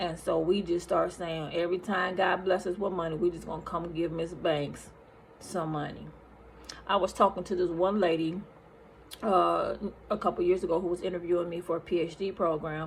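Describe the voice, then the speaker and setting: A woman's fairly low voice, flat and monotone at a moderate pace, with noticeable background noise. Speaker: nurse and online minister. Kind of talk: testimony. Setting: recorded on lunch break.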